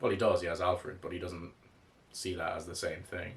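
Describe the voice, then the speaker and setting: There is audible room echo as a man speaks with an Irish accent. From Ireland. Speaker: comics reviewer. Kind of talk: casual commentary video. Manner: casual, with fillers and restarts.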